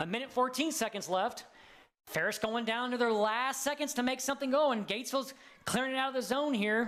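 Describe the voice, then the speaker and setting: Over music in the background, a man with an American accent talks at a fairly quick pace in an extremely high pitch, his loudness very even. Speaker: sports commentator. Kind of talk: live commentary. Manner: animated.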